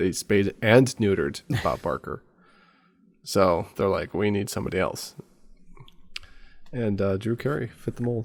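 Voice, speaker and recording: This man's voice is fairly low, with ordinary pitch variation. He keeps a moderate pace but leaves long, frequent pauses. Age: 30s. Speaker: podcast co-host. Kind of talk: casual chat.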